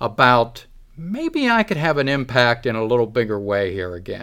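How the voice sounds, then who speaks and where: In an American accent, a man speaks at a fairly slow pace with a medium pitch and a bright, sharp tone. The recording is very clean, with a silent background. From western Pennsylvania. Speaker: county commissioner candidate. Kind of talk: interview.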